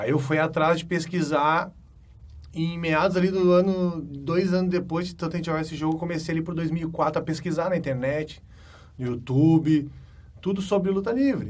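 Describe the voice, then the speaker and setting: With a Gaúcho Brazilian accent, a high-voiced man speaks at a moderate pace with ordinary pitch variation amid audible room echo. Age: 20s. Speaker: pro wrestler. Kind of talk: interview monologue. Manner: casual, hesitant with fillers.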